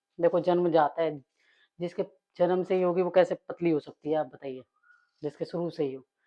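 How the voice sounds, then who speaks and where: A woman's fairly low-pitched voice with long, frequent pauses and big swings in loudness. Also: fairly even intonation, moderate pace. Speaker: daily-life vlogger. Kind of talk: casual vlog chat while cooking.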